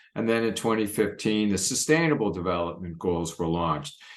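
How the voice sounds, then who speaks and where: A man speaks at a fairly low pitch. Some room echo can be heard around his voice. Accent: American. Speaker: pediatrics professor. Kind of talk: recorded lecture presentation.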